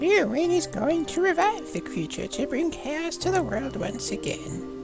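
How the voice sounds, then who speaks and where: A man performs a put-on character voice at a moderate pace. Loud music plays in the background. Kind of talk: bad soap opera acting. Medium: game stream. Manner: calm, solemn.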